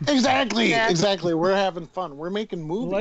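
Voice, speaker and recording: A man talks at a very fast pace in a high pitch with lively intonation. Noticeable background noise sits behind him. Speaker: podcast guest.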